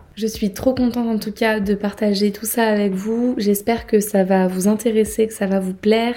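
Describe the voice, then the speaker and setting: With a fairly high pitch and a dark, mellow tone, a woman speaks in a monotone, flat intonation. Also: moderate pace, hardly any pauses. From southern France, between Marseille and Nice. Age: 20s. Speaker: travel podcaster. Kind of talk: casual monologue.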